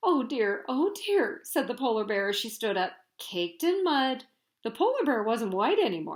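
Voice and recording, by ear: Against a quiet background, a person reads aloud in a natural voice.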